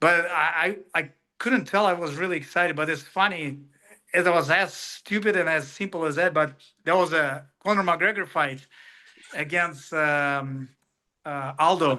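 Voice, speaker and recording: A man with a Russian accent speaks at a moderate pace in a bright, sharp tone. His fairly high pitch shows ordinary variation, and the background is quiet. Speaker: professional MMA fighter. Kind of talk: interview. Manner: halting.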